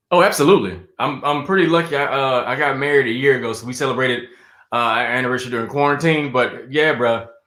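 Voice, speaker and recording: With an American accent, a man talks at a very fast pace in a medium pitch and ordinary pitch variation, and audible room echo surrounds his voice. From South Carolina. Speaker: stand-up comedian and actor. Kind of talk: casual interview chat.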